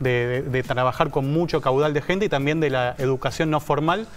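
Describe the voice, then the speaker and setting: With faint music in the background, a man speaks with fairly even intonation. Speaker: guest. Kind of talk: interview answer. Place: studio. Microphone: lapel.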